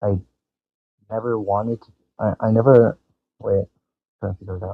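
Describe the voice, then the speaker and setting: This man's voice sits fairly low and stays monotone, with flat intonation. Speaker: animation channel creator. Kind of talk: live stream talk. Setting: live stream. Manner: halting, stuttering.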